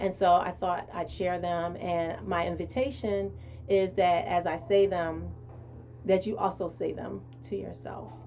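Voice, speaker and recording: With music in the background, a woman speaks at a fairly slow pace and a fairly low pitch, with ordinary pitch variation. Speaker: show host. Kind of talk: live stream talk with affirmations. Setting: live stream.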